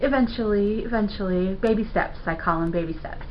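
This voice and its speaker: A woman talks at a medium pitch, and audible echo fills the room around her. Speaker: video blogger and web designer. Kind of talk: casual vlog monologue to camera.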